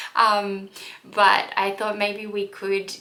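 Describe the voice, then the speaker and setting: A woman's voice comes through with noticeable background noise and audible room echo. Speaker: lifestyle vlogger and wellness coach. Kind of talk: casual vlog talk.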